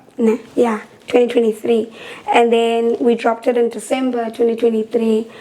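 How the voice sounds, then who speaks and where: Over noticeable background noise, a woman speaks at a moderate pace in a fairly high pitch, with monotone, flat intonation and very even loudness. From South Africa, Eastern Cape (Gqeberha). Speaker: singer. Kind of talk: casual chat.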